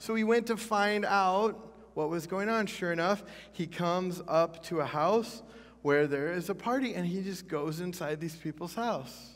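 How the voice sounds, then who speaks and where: The man has a high pitch, ordinary pitch variation and a moderate pace. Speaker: pastor. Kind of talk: sermon. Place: church.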